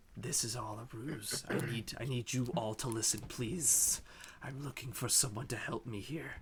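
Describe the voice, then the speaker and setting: A man speaks at a moderate pace in a raspy, put-on character voice of medium pitch, with clear background noise behind him. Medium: actual play. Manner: urgent, nervous.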